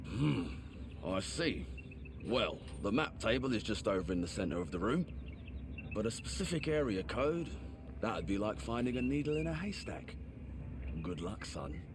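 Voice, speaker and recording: Amid loud background noise, a man puts on a gruff character voice with a very deep, low pitch, speaking at a moderate pace with long, frequent pauses. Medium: video game. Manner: gruff, suspicious, officious.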